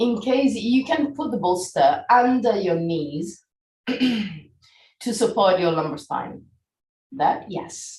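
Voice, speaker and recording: Very slowly, a woman speaks in a fairly high, somewhat breathy voice with very wide pitch swings. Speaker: yoga teacher. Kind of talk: live yoga class instruction.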